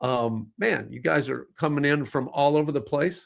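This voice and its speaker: This man has an American accent and a fairly high pitch, with vocal fry in his voice. He speaks at a moderate pace. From US Midwest. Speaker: livestream host. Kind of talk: live stream chat. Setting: online live stream. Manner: casual, filler-heavy.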